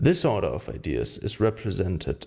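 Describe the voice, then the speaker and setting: A man with a German accent, fairly low-pitched and full of vocal fry, very slow in pace, with lively intonation. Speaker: amateur audiobook reader. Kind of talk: reading aloud.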